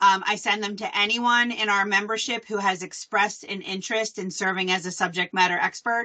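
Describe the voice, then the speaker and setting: Speaking with a Philadelphia accent, a woman keeps a medium pitch, fairly even intonation and a moderate pace. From Philadelphia, US. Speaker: association staff presenter. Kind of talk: live webinar presentation. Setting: video call.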